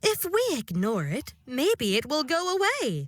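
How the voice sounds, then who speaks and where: A woman uses a put-on character voice at a fairly slow pace. Her high pitch swings very widely. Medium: read story.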